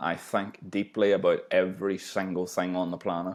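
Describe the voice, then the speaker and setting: The speaker has a strong Northern Irish accent. The pace is moderate. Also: man. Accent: thick Northern Irish. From Northern Ireland, small town near Belfast. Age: 20s. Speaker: podcast host. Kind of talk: casual chat.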